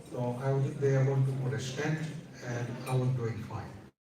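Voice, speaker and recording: Delivered at a moderate pace in a flat, monotone intonation, the speech carries audible room echo. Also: man. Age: 80s+. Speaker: speaker sharing health story. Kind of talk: speech at event.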